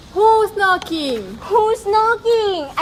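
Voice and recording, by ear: A female-sounding put-on character voice, pitched extremely high, over clear background noise.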